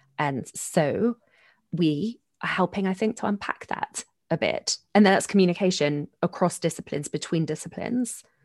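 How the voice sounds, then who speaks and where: In a London accent, a woman talks at a moderate pace with ordinary pitch variation. The background is quiet. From South London, England. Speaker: sociologist and co-host. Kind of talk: casual conversation.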